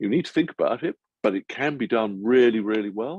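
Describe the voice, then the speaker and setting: A man in an ordinary speaking voice at a moderate pace with ordinary pitch variation, dry and close with no echo. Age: 60s. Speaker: senior Freemason leader. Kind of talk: webinar interview. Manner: repetitive false starts.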